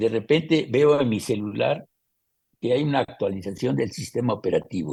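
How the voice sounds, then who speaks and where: Male voice of medium pitch with a dark, mellow tone, vocal fry, lively intonation and a moderate pace. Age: 80s+. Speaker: photographer. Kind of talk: interview answer.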